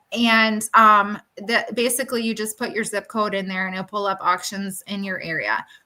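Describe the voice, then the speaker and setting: An unremarkable speaking voice from a woman, fairly high in pitch, with fairly even intonation, a moderate pace, and hardly any pauses. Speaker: furniture flipper. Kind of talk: casual chat. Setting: live stream panel.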